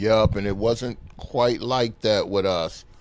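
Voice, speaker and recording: A man with an American accent talks at a medium pitch with fairly even intonation. Noticeable background noise is present. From South Minneapolis, Minnesota. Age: 60s. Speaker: guest. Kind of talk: casual interview chat.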